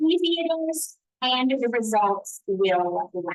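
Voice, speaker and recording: A woman with a slight Southern US accent, high in pitch and very slow. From US South. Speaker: hair care brand educator. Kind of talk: live product demo and sales pitch. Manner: enthusiastic.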